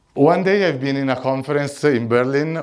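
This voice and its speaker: Audible room echo surrounds a man speaking with an Italian accent. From Italy. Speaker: conference speaker. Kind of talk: conference talk. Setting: stage with audience.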